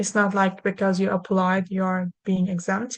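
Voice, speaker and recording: A woman talks at a moderate pace. Her pitch sits in the medium range. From Turkey. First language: Turkish. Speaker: lawyer. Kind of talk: webinar presentation. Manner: halting.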